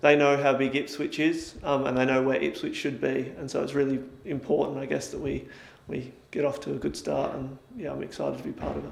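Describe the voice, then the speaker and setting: A man talks at a fairly quick pace in a slight Australian accent. Room echo can be heard. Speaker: sports scientist at a football club. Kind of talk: interview. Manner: hesitant, many fillers.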